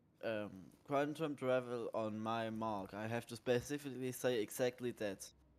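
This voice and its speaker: A man with a German accent talks at a moderate pace and a medium pitch, his intonation fairly even. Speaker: gamer. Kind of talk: casual chat.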